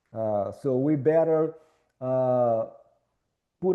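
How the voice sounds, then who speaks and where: This man's voice sits fairly high, and his pitch varies in an ordinary way. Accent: Minas Gerais. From Brazil, Minas Gerais. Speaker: architecture professor. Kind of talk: lecture.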